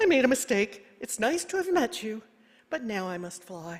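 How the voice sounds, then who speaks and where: In a put-on character voice, a female-sounding speaker projects loudly at a moderate pace, with a fairly high pitch and very wide pitch swings. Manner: spluttering, apologetic.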